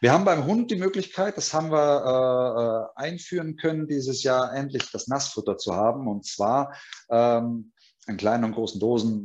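A man with an unremarkable speaking voice talks at a moderate pace and medium pitch, his intonation lively. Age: 40s. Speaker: pet food company sales manager. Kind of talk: webinar presentation.

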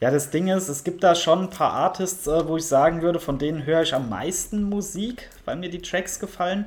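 A high male voice at a moderate pace, with ordinary pitch variation and hardly any pauses. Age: 30s. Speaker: podcast guest. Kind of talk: casual chat. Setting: remote call.

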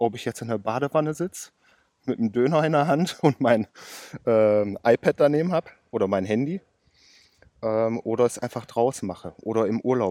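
At a moderate pace, a man with a medium pitch and dark, mellow tone uses lively intonation and leaves long, frequent pauses. The very clean recording has a silent background and a dry, close sound with no echo. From western Germany, Ruhr area (Oberhausen). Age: 30s. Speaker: car mechanic and day trader. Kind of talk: casual interview. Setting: outdoors.

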